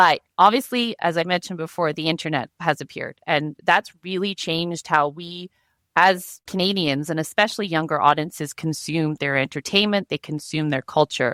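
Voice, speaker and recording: A woman with a normal speaking voice talks at a moderate pace and a fairly low pitch, with ordinary pitch variation and hardly any pauses, in a very clean recording with a silent background and a dry, close sound with no echo. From Canada. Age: 40s. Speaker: media advocacy representative. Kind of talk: podcast interview.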